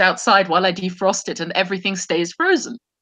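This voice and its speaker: Talking at a very fast pace, a woman uses a bright, sharp tone and lively intonation. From Germany, central. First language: German (trilingual). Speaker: feminist discussion show host. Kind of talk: casual chat. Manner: halting, many repetitions and fillers.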